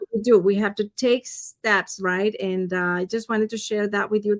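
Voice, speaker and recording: A woman with a Spanish accent speaks at a moderate pace with fairly even intonation, the sound dry and close with no echo. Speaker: financial advisor. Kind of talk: interview.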